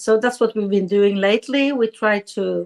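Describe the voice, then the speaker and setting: Here a woman speaks in a Swedish accent. Her intonation is monotone and flat. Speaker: politician. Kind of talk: interview. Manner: halting.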